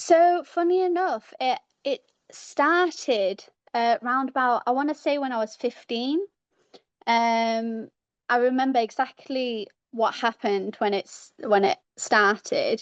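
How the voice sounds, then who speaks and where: The speaker has a British accent and lively intonation. The background is quiet. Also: woman, high pitch for a woman, fairly slow pace. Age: 30s. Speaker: caller. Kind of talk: casual chat. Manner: halting.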